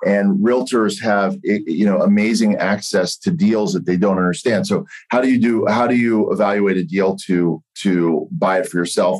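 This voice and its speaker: A plain, everyday voice from a man, fairly low in pitch, at a moderate pace with very even loudness and ordinary pitch variation. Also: hardly any pauses. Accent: American. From US, Pittsburgh. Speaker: real estate brokerage executive and former attorney. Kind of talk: interview.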